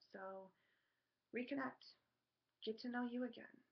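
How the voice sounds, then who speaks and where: A woman with fairly even intonation. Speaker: spiritual card reader. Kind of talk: tarot energy reading monologue. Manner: fast; hesitant, many ums.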